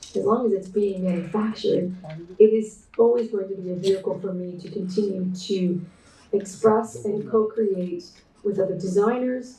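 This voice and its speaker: There is audible room echo as a woman speaks at a moderate pace in a somewhat breathy voice with fairly even intonation. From Canada. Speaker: textile artist and designer. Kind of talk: keynote presentation. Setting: online conference talk. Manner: hesitant, many fillers.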